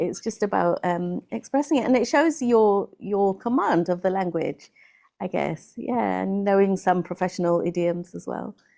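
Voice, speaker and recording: A woman's medium-pitched voice in a British accent, with lively intonation, a moderate pace and a quiet background. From England. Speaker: English tutor. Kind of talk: interview answer. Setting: video call.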